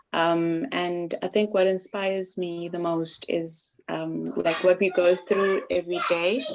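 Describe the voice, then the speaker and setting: A woman with a fairly low pitch, fairly slow and monotone, with hardly any pauses and noticeable background noise. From South Africa. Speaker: IT worker and poet. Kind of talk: casual chat.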